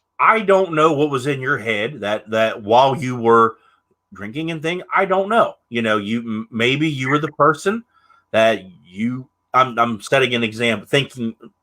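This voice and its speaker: A man has a normal speaking voice at medium pitch. He talks at a moderate pace with lively intonation. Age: 30s. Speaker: podcast host. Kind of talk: casual interview chat.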